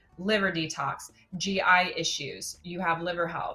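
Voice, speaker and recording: There is noticeable background noise behind a woman speaking at a fairly low pitch. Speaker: doctor of natural medicine. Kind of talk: webinar Q&A.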